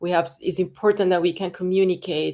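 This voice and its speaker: A woman with a Spanish accent speaks at a fairly low pitch with fairly even intonation. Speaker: actress. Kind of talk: casual interview chat. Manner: halting, many restarts.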